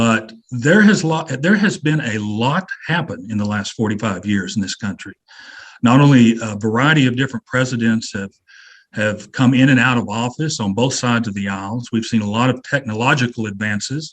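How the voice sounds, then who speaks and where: Speaking at a moderate pace, a man uses an ordinary speaking voice at a medium pitch with ordinary pitch variation. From Kansas. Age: 60s. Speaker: webinar moderator. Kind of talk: panel discussion.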